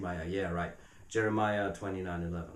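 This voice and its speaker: A man with a German accent speaks at a fairly quick pace in a somewhat breathy voice, with audible room echo. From Germany. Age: 30s. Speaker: video blogger. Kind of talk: video response monologue. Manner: halting.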